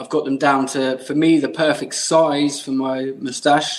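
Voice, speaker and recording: With an English accent, a man of medium pitch speaks at a fairly slow pace in a flat, monotone intonation. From England. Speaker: mustache product maker. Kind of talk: podcast interview answer.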